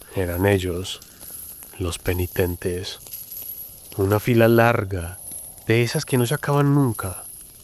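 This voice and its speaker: A man's fairly low voice in an Antioquian accent, very slow and dramatic in tone, with ordinary pitch variation and long, frequent pauses. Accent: paisa Colombian. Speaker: storyteller. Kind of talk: scripted narration.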